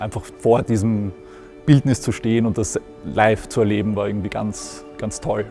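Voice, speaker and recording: There is clear music in the background as a man speaks with a dry sound and no echo. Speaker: museum editor. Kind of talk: interview answer. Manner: casual, reflective, with frequent hesitations. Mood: warm, nostalgic. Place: hall. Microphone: lapel.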